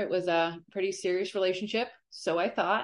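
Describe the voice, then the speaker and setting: Over a quiet background, a woman with an ordinary speaking voice and a General American accent keeps a medium pitch and fairly even intonation. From Colorado, US. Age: 40s. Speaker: abuse survivor. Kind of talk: testimony.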